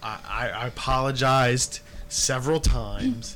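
Very slowly, a man talks over noticeable background noise. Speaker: podcast host. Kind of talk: casual chat.

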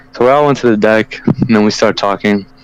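The man's speech is very fast. Behind it runs noticeable background noise. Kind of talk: casual chat. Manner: uses slang, storytelling.

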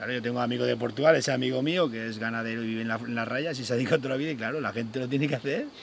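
A man's medium-pitched voice, very fast with hardly any pauses and fairly even intonation, over noticeable background noise. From Spain, Extremadura (Sierra de Gata). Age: 40s. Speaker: goatherd and social media creator. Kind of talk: interview. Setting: outdoors.

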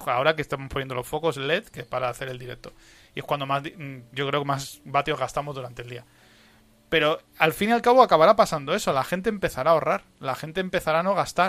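A man with a fairly high pitch speaks at a very fast pace with lively intonation. His loudness swings widely. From Spain. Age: 30s. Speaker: podcast host. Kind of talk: casual chat. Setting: live stream.

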